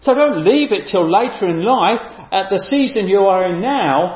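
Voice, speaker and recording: A fairly slow delivery with noticeable background noise behind it. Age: 50s. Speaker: preacher. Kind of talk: sermon.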